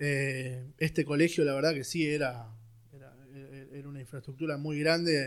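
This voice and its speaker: At a moderate pace, a man with a fairly high voice speaks with ordinary pitch variation in a very clean recording with a silent background. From Buenos Aires, Argentina (Villa Devoto). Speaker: security company founder. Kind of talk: casual interview. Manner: halting, many fillers.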